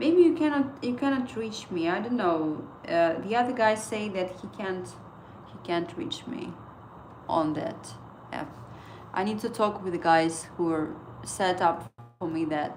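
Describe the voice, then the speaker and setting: A woman with a non-native accent speaks at a fairly slow pace with very wide pitch swings, big swings in loudness and long, frequent pauses, amid noticeable background noise and audible room echo. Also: medium pitch for a woman. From Estonia. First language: Estonian. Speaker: trading livestreamer. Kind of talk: casual livestream chat. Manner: halting.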